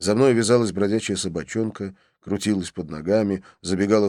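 In plain reading aloud over a quiet background, the intonation stays fairly even.

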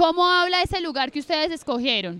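Quick and lively, a woman's extremely high-pitched voice has a bright, sharp tone.

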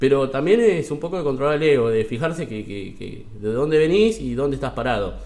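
Amid audible room echo, a man with an Argentine accent talks at a fairly quick pace and fairly high pitch, with hardly any pauses, lively intonation and big swings in loudness. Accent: Rioplatense Argentine Spanish. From Buenos Aires, Argentina. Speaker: stand-up comedian. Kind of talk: casual interview. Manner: halting.

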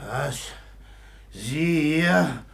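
A put-on character voice from a man, fairly high in pitch with vocal fry, ordinary pitch variation and a very slow pace.

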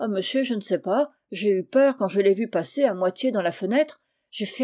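An unforced reading voice comes across with a quiet background.

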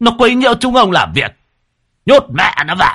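A man puts on a character voice pitched high for a man, bright and sharp with a slightly husky edge, swinging very widely in pitch at a moderate pace over a very clean recording with a silent background.

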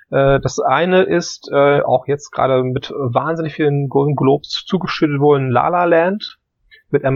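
Here a man has an ordinary speaking voice, with a fairly high pitch and ordinary pitch variation. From northern Germany, Hamburg. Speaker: film podcast co-host. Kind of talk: casual chat.

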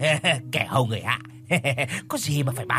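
An unforced reading voice carries the whole clip.

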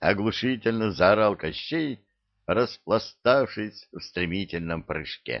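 Read in a natural voice, the passage has lively intonation, and the background is quiet.

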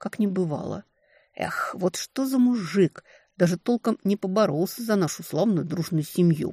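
Behind this plain reading aloud, the background is quiet.

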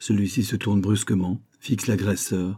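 The clip is a passage read aloud in a natural voice.

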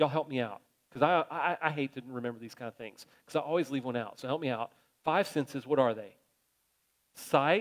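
A man with an ordinary speaking voice talks at a medium pitch and a fairly quick pace, with ordinary pitch variation and big swings in loudness. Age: 50s. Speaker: pastor. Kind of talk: sermon.

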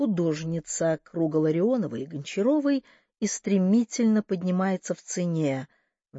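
This is a natural reading voice with lively intonation. The background is quiet.

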